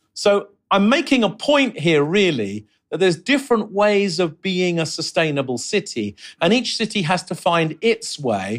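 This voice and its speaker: Pitched high, a man's voice rises and falls in very wide pitch swings. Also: moderate pace. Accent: London. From London, England. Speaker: urbanist and professor. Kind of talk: interview.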